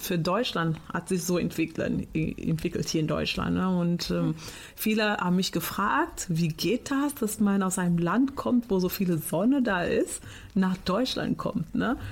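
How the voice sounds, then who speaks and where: At a very slow pace, a woman talks with lively intonation and a medium pitch. Her loudness stays very even. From Portugal. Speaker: teacher. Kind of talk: interview.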